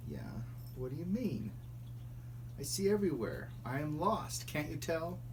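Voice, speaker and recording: Amid loud background noise, a man puts on a character voice, speaking at a moderate pace with long, frequent pauses. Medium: read story.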